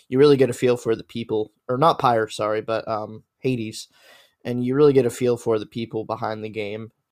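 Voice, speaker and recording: The recording is very clean, with a silent background. A man with a medium pitch talks at a moderate pace in a monotone, flat intonation. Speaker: games journalist panelist. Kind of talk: casual panel discussion. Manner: hesitant, filler-heavy.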